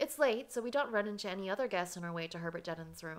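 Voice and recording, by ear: This is reading aloud. It is done in a natural voice.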